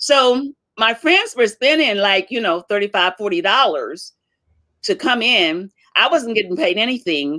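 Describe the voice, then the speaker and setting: With a fairly high pitch, a bright, sharp tone and very wide pitch swings, a woman speaks at a fairly slow pace. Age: 70s. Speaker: comedian and author. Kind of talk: casual interview chat.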